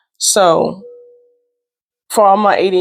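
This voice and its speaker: A woman speaks with music playing in the background. The sound is dry and close, with no echo. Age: 30s. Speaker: tarot reader and vlogger. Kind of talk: casual monologue vlog. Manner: rambling, filler-heavy.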